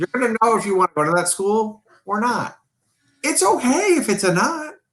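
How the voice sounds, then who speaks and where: A man with an American accent and a high pitch speaks with very wide pitch swings at a very even loudness. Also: moderate pace, dry, close sound with no echo. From New York. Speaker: riding coach. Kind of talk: casual chat. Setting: live stream. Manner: boisterous.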